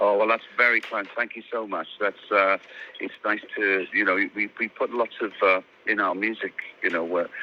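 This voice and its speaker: Noticeable background noise sits behind a man with a slight Welsh accent. He talks at a moderate pace and fairly low pitch in a monotone, flat intonation. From South Wales, Swansea. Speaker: singer. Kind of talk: interview. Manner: halting.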